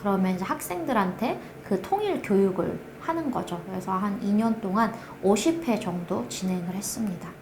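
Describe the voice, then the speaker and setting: A woman with a North Korean accent speaks at a medium pitch with lively intonation. Audible room echo and noticeable background noise are present. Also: moderate pace. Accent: North Korean dialect, noticed on phone calls. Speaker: project manager, North Korean defector. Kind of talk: interview testimony.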